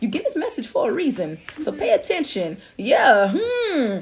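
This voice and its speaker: A woman's high voice swings very widely in pitch while noticeable background noise carries on. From Alabama. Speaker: spiritual reader. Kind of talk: livestream reading. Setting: TikTok live stream. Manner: casual, repetitive.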